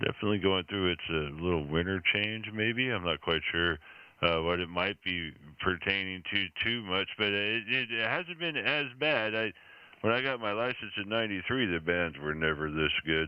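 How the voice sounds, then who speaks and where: Here is a man with an unremarkable speaking voice and a fairly low pitch. He talks at a moderate pace with lively intonation. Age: 40s. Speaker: ham radio operator. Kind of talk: casual chat. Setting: amateur radio contact.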